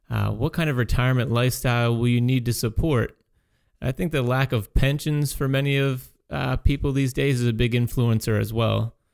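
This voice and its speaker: A man with an unremarkable speaking voice talks at a moderate pace and medium pitch. His intonation is fairly even, on a very clean recording with a silent background. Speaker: financial advisor radio host. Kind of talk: radio show discussion.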